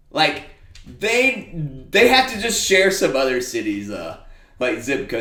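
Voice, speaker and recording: With an American accent and very wide pitch swings, a man speaks amid noticeable background noise and audible room echo. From small-town Alabama. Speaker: podcast host. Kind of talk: casual monologue. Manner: casual, filler-heavy.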